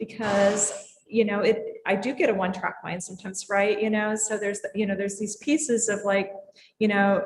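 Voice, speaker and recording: A woman's somewhat breathy voice at a moderate pace with fairly even intonation. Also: medium pitch for a woman. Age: 60s. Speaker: drinks industry leader. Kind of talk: casual chat.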